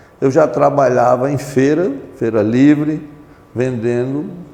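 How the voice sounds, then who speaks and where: Fairly high-pitched man at a fairly slow pace, ordinary pitch variation, noticeable background noise. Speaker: retired marine, amnesty movement member. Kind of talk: oral history interview. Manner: formal; halting.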